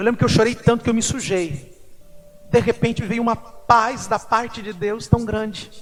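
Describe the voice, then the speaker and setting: A man talks at a moderate pace and a high pitch, with noticeable background noise behind him. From Brazil, Mato Grosso do Sul (Corumbá). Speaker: pastor. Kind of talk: sermon with personal testimony. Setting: church service.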